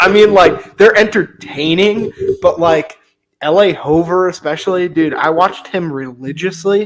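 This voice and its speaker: With a slight West Virginia accent, a man speaks at a high pitch. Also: ordinary pitch variation, moderate pace. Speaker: motorized bike YouTuber, podcast co-host. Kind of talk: casual chat. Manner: animated.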